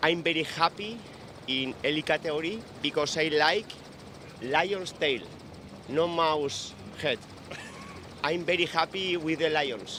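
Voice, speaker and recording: A man with a Spanish accent talks at a fairly slow pace and fairly high pitch, with long, frequent pauses and ordinary pitch variation. His loudness is very even, and there is noticeable background noise. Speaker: professional mountain bike racer. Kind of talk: post-race interview. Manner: halting.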